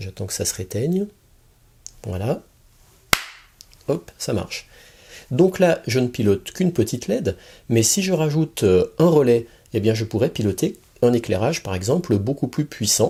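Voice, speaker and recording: A man's dark, mellow, somewhat breathy voice at a fairly slow pace, with very wide pitch swings and long, frequent pauses. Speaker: electronics hobbyist youtuber. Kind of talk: tutorial. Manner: soft-spoken.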